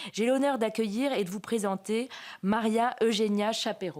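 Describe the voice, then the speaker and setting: Over a silent background in a very clean recording, a woman with a fairly high pitch speaks at a moderate pace with ordinary pitch variation. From France. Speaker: magistrate, event moderator. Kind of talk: conference speech. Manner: halting, many hesitations.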